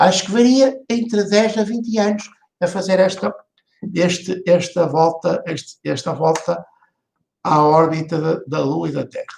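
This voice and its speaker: A man speaks at a fairly slow pace in a European Portuguese accent. His pitch is high, with ordinary variation. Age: 60s. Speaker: vlogger. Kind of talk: opinion monologue. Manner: halting, many fillers and repeats.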